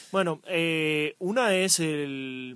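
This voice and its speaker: A man speaks at a fairly high pitch. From Asturias, northern Spain. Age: 20s. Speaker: cycle tourist podcast co-host. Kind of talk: casual chat. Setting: outdoors.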